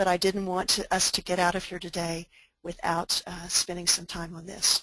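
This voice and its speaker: A woman with an American accent speaks at a moderate pace with a fairly low pitch and a bright, sharp tone. Her intonation is monotone and flat, while her loudness swings widely. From Oklahoma. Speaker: pastor and disaster spiritual care expert. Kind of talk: webinar presentation. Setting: online webinar.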